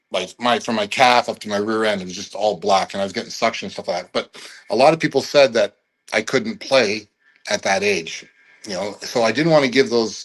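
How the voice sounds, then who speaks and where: With a Canadian accent and a normal speaking voice, a man talks at a fairly quick pace with ordinary pitch variation. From Canada, Toronto area. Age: 60s. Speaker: former pro football player. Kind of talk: interview storytelling.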